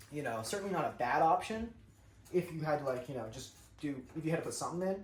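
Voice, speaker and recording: Noticeable background noise runs under the voice. The speaker talks at a fairly quick pace with a strong Southern US accent. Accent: thick southern US. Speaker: vlogger cooking at home. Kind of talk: casual chat.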